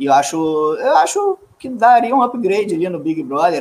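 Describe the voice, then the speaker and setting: A man's plain, everyday voice at a fairly slow pace with lively intonation. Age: 40s. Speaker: actor. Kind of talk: casual chat.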